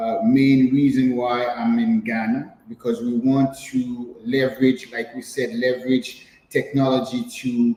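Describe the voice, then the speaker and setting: A man talks fairly slowly with lively intonation as background noise is clearly heard. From Haiti. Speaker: entrepreneur. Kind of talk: interview. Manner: halting, many fillers and repetitions.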